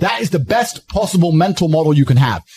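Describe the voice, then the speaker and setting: A man with a fairly high pitch speaks in a dark, mellow tone that is intense and somewhat breathy. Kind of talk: motivational speech. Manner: intense, forceful.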